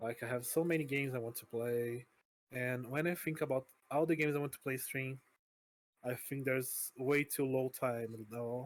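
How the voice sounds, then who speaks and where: With a Portuguese accent, a man speaks at a moderate pace with fairly even intonation. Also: medium pitch for a man. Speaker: vtuber streamer. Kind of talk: interview. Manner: halting.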